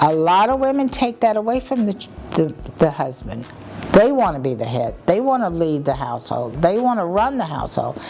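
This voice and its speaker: Very wide pitch swings in an American accent at a moderate pace, with noticeable background noise. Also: woman. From US South, Alabama. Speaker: interviewee sharing faith testimony. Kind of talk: testimony.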